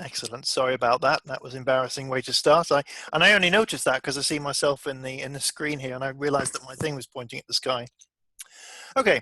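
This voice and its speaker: A man with a British accent and a bright, sharp tone speaks at a fairly quick pace in a dry, close sound with no echo. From Britain. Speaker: software developer and trainer. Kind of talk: online training session.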